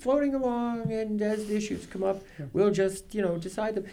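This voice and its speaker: Here a man has a high pitch and a dark, mellow tone. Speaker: newspaper journalist. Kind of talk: radio talk show conversation. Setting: radio studio.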